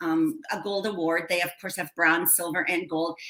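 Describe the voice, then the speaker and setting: A woman at a moderate pace with lively intonation, over noticeable background noise. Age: 60s. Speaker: educator and children's author. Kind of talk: casual interview.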